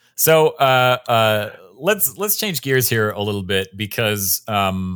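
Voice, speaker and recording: This is an ordinary speaking voice with ordinary pitch variation. The recording is very clean, with a silent background. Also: man. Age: 30s. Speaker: podcast host. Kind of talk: interview.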